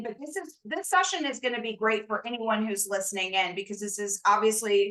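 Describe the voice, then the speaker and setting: This woman's loud voice sits at a high pitch, with a bright, sharp tone and lively intonation. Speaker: career consultant and show host. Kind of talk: interview introduction.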